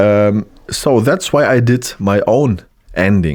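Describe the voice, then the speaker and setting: The speaker is a man with a German accent. His voice is medium in pitch. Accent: German accent, self-described bad English. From Germany. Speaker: 3D animator / content creator. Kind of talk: tutorial. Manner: halting, hesitant with fillers.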